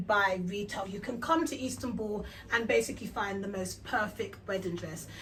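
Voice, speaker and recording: A woman with a London accent speaks in an animated tone at a fairly high pitch and a moderate pace. There is noticeable background noise. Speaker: travel and wholesale vlogger. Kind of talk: vlog walkthrough.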